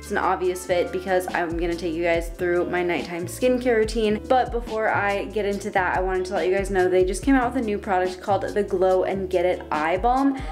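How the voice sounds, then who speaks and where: Music plays behind a woman talking at a fairly quick pace with hardly any pauses. Her medium-pitched voice shows ordinary pitch variation. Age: 20s. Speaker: fitness and wellness vlogger. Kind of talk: casual talk to camera. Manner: upbeat.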